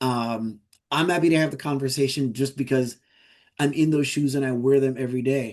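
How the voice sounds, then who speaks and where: In a normal speaking voice, a man with an American accent speaks at a fairly quick pace and medium pitch, his intonation fairly even against a quiet background. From US Virgin Islands. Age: 60s. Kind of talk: conference Q&A.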